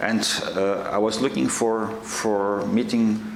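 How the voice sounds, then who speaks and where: A man with a fairly low pitch speaks with fairly even intonation, with audible room echo and noticeable background noise. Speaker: association director, terror victim's relative. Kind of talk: panel testimony. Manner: halting, many fillers.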